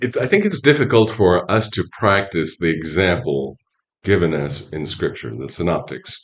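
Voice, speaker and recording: With a very deep, low pitch and vocal fry, a man speaks in very wide pitch swings. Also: moderate pace. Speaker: priest and hospice chaplain. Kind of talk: podcast interview answer.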